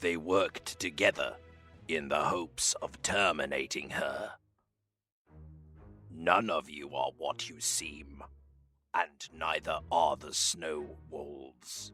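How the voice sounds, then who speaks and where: A man uses a put-on character voice, very deep and low, raspy and solemn in tone. He goes at a fairly slow pace with long, frequent pauses while faint music plays in the background. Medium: audio drama. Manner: slow, solemn, ancient.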